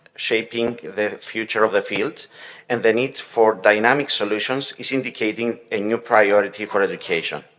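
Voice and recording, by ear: A man speaks with a fairly low pitch. His intonation stays fairly even. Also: fairly bright tone.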